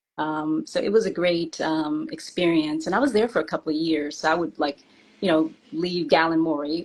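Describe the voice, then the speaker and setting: A woman with an American accent has an unremarkable speaking voice, fairly low in pitch with ordinary variation, at a moderate pace. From Washington, D.C. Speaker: former music industry assistant, guest storyteller. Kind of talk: interview.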